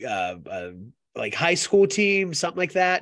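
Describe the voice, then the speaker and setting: In a quiet background, a man speaks with an American accent. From US, Mexican American from a small poor town. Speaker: film podcast host and restaurant server. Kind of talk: casual chat. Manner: animated.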